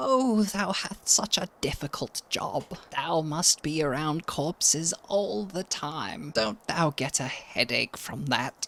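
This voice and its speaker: In a put-on character voice at a middle pitch, the speaker goes at a fairly slow pace with hardly any pauses. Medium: virtual streamer. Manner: sweet, calls others dear.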